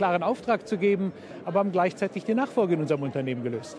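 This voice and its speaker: Noticeable background noise sits behind a man talking very fast, in a dry sound with no echo. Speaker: business owner. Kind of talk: interview answer. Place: hall.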